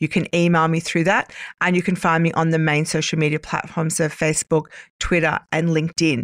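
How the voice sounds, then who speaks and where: A woman's fairly low, flat monotone with an Australian accent, fairly quick pace and very even loudness, in a very clean recording with a silent background and a dry, close sound with no echo. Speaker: cyber safety educator, former police officer. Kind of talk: interview.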